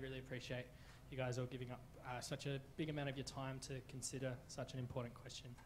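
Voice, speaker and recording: Against crowd noise in the background, a man talks at a very fast pace. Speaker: witness. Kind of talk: public presentation. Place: hall. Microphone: handheld.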